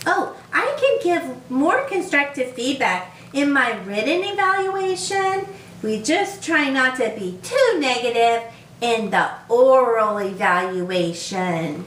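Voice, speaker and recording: A female-sounding cartoonish character voice uses high pitch and very wide pitch swings at a fairly slow pace. Slight echo and light background noise are present. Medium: puppet.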